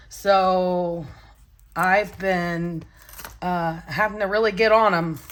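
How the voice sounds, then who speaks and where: A medium-pitched woman speaking at a very slow pace, with audible room echo. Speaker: budgeting vlogger. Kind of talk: casual vlog talk. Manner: halting, many fillers.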